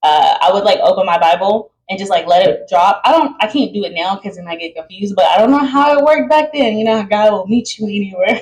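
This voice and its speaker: A somewhat breathy woman races along at a very fast pace with hardly any pauses, her medium-pitched voice lively in intonation and swinging widely in loudness. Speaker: podcast host. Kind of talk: casual monologue.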